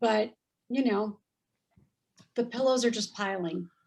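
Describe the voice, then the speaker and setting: A woman talks with a Californian accent at a fairly high pitch. Her pitch varies in an ordinary way. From Southern California. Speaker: former model and actress. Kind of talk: interview storytelling. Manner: animated.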